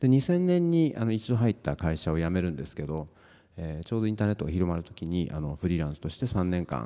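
Against a quiet background, a dark, mellow voice moves at a very fast pace with lively intonation. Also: man, very deep, low pitch for a man. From Amami Oshima, Kagoshima, Japan; Kagoshima, Japan. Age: 40s. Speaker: science fiction writer; keynote speaker. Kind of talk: panel presentation. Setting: stage with audience. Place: hall.

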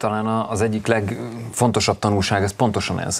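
This is a man speaking. His pitch is fairly low. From Hungary. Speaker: talk show guest. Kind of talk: studio discussion. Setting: TV studio. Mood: earnest, mildly indignant. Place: studio. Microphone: lapel.

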